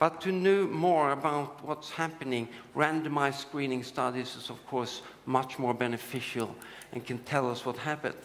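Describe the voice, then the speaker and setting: With audible room echo and noticeable background noise, a man speaks at a moderate pace in a fairly high pitch with ordinary pitch variation. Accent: Swedish. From Sweden. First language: Swedish. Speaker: urologist and screening researcher. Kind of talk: conference lecture. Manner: halting, with many fillers.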